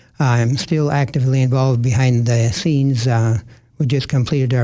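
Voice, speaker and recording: A man speaks at medium pitch with an Upper Midwest accent. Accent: Upper Midwest American. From Minnesota. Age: 80s+. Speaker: retired occupational therapist and community volunteer. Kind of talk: radio interview. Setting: radio studio. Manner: hesitant, many fillers.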